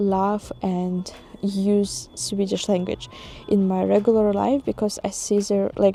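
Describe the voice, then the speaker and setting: A woman's medium-pitched voice at a very slow pace, with fairly even intonation. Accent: non-native. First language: not English. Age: 20s. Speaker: expat vlogger. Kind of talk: casual vlog monologue. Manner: hesitant, many fillers.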